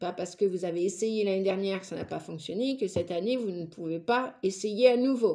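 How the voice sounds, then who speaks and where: A woman with a dark, mellow tone and medium pitch speaks with lively intonation on a very clean recording with a silent background. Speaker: tarot reader and psychic. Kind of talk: tarot reading monologue. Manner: animated.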